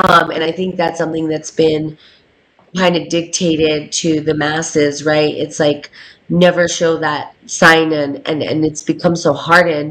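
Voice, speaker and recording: Her pitch very deep and low, a woman speaks fairly slowly in a monotone, flat delivery. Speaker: podcast host. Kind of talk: casual chat. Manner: loud.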